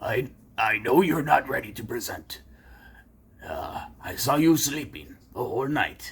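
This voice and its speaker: A raspy, cartoonish character voice moves at a fairly slow pace. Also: man, fairly high pitch for a man. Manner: stern, hesitant.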